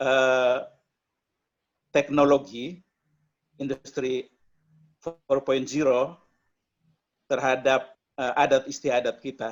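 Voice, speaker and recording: Pausing long and often, a man speaks at a very slow pace and medium pitch in a flat monotone. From eastern Indonesia (Flores). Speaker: media executive. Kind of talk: online discussion.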